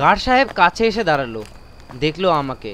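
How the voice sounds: In a fairly high, fairly bright voice, a man speaks at a fairly quick pace with big pitch swings.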